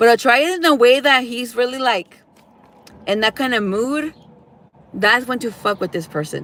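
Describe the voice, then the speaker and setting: A woman's high, animated voice in a Californian accent, lively in intonation at a moderate pace, broken by long, frequent pauses. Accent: Californian American English. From Los Angeles, US. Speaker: tarot reader. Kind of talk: tarot reading livestream, casual advice.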